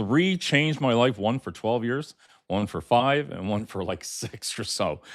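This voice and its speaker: In a normal speaking voice of medium pitch, a man talks fairly slowly with lively intonation on a very clean recording with a silent background. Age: 60s. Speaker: podcast co-host. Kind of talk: live podcast chat. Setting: live video stream.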